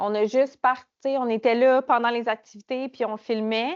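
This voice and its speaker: A woman speaks with a Quebec accent. Her pitch is fairly high. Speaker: project officer presenting a program. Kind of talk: conference presentation. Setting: conference room with small audience. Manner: hesitant, many fillers.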